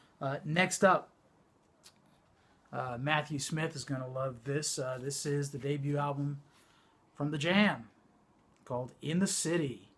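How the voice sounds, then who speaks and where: A man with a fairly high voice talks at a fairly slow pace with fairly even intonation, leaving long, frequent pauses. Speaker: vinyl collector YouTuber. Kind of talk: casual show-and-tell vlog. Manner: mumbling; hesitant, many fillers.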